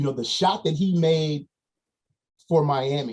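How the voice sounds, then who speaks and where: A fairly high-pitched man's voice, somewhat breathy, with ordinary pitch variation and a fairly slow pace. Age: 60s. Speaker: basketball coach. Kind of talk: podcast interview.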